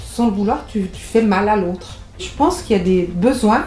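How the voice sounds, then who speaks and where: A woman at medium pitch with ordinary pitch variation, talking at a fairly slow pace over noticeable background noise. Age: 60s. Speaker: marriage and family counselor. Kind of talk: radio interview.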